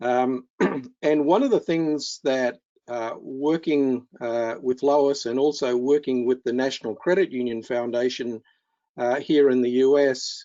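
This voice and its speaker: The speaker talks with an Australian accent at a fairly slow pace. The intonation stays fairly even. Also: man, medium pitch for a man. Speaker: keynote speaker, financial counselling trainer. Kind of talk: webinar presentation. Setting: online webinar. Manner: halting with many fillers.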